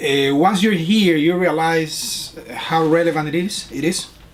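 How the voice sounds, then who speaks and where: Man with a Spanish accent, high pitch and fairly even intonation, over noticeable background noise. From Panama. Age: middle-aged. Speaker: fellowship student and teacher. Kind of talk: interview. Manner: halting.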